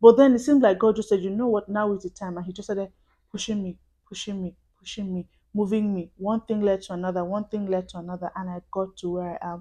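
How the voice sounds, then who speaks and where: Against a quiet background, a woman talks at a fairly quick pace in a dark, mellow tone. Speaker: vlogger. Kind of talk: casual talk to camera. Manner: fast.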